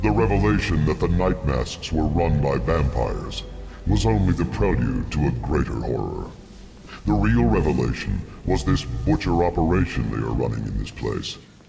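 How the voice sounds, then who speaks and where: A man puts on a character voice with a very deep, low pitch at a moderate pace. Clear background noise is present. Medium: video game. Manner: solemn, formal, archaic.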